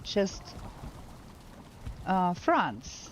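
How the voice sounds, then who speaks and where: Speaking at a very slow pace, a woman talks. She has a German accent. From Germany. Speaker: video game streamer. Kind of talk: live gameplay commentary. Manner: halting.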